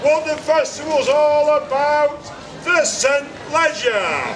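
Over noticeable background noise, a man speaks in a theatrical tone at an extremely high pitch and a very slow pace. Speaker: town crier. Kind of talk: town crier proclamation. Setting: outdoors, market square. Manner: loud, theatrical, announcing.

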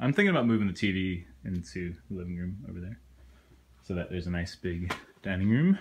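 Light background noise runs through the clip. The delivery holds a moderate pace. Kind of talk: casual vlog chat. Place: home room. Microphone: phone near.

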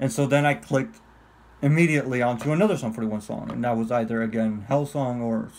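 With light background noise, a man speaks at a moderate pace and ordinary pitch variation. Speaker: vlogger. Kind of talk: casual vlog chat. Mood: nostalgic, laughing, casual swearing. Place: home room. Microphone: phone near.

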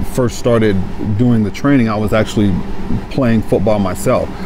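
Noticeable background noise accompanies a man speaking at a fairly quick pace, with a dry sound and no echo. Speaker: trainer. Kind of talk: interview answer. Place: gym.

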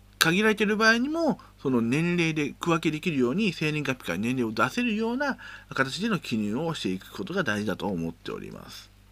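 Recorded very cleanly over a silent background, a man speaks at a moderate pace in a high, bright, sharp voice with very wide pitch swings. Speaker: educational YouTuber teaching Excel. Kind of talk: tutorial. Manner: casual, many filler words.

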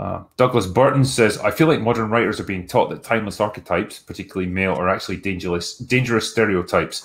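Very fast speech from a man with a Scottish accent and ordinary pitch variation. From Scotland. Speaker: film critic, channel host; channel host. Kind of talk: casual chat reading superchats. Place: home room.

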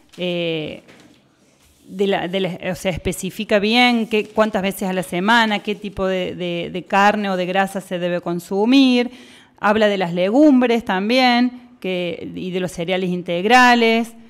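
With an unremarkable speaking voice, a woman talks at a fairly slow pace and medium pitch, with ordinary pitch variation, on a very clean recording with a silent background. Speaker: nutritionist, radio columnist. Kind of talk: educational radio segment. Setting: radio studio.

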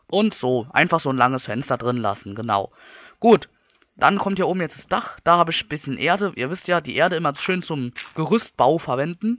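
A man talks at a fairly quick pace, his fairly high pitch swinging very widely. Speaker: gaming youtuber. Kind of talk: let's play commentary. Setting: home recording with microphone. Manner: casual, chatty.

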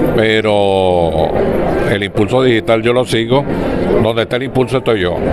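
Long pauses come often between the words. Loud background noise sits under a dry sound with no echo. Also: man, moderate pace. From Venezuela, Barquisimeto. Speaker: veteran sports journalist and broadcaster. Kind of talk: interview answer. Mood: nostalgic, warm. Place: hall. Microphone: handheld.

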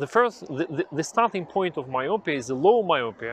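A man's pitch swings very widely. The sound is dry with no echo, over light background noise. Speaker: vision health educator. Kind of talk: educational explainer to camera. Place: garden. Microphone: lapel.

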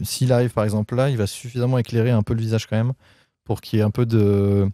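This man's fairly low voice has a dark, mellow tone, recorded dry with no echo against a quiet background. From Paris region, France; France. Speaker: photographer; guest. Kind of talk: casual interview. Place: garden. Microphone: handheld.

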